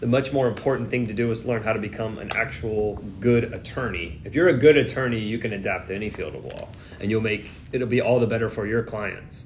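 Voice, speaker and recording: A man with a Texas accent, medium pitch and ordinary pitch variation, at a fairly quick pace, amid audible room echo and noticeable background noise. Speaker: immigration attorney. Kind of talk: live Q&A stream. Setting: livestream from airport during flight delay. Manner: casual, filler-heavy.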